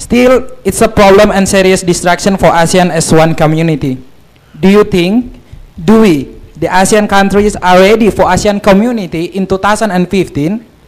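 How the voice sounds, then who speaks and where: Over noticeable background noise, a man speaks at a high pitch in an Indonesian accent. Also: ordinary pitch variation, moderate pace. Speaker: student asking a question. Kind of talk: audience Q&A at a lecture. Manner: halting, many fillers.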